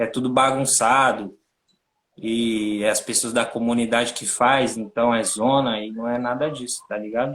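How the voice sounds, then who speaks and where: This man speaks in a monotone with flat intonation at a medium pitch. His pace is fairly slow. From Brazil, São Paulo (Capão Redondo). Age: 30s. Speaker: NGO co-founder and director. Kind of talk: interview on a livestream. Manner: casual, slangy.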